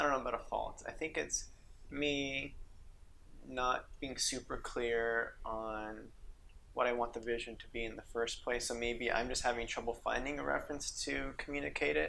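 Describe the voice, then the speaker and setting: There is audible room echo as a man speaks at a moderate pace with an American accent. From New Mexico, US. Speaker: podcast host and director. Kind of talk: casual interview chat.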